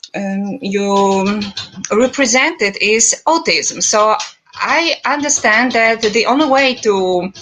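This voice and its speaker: Over noticeable background noise, a woman with a Polish accent and a fairly high voice speaks at a very slow pace. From Poland. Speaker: vegan advocate. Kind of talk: debate. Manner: halting.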